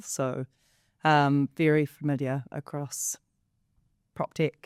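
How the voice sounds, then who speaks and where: A woman with a New Zealand accent is heard in a very clean recording with a silent background, the sound dry and close with no echo. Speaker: company co-founder and co-host. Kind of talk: panel discussion.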